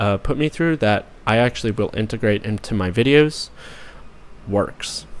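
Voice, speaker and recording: The speaker talks at a moderate pace. Pitch varies in an ordinary way. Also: man. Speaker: YouTuber and author. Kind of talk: personal video message. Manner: hesitant with fillers.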